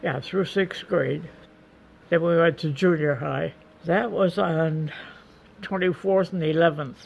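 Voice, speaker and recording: Her voice fairly low for a woman and marked by vocal fry, she talks at a fairly slow pace with ordinary pitch variation and long, frequent pauses. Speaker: grandmother recalling her childhood. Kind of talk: interview answer.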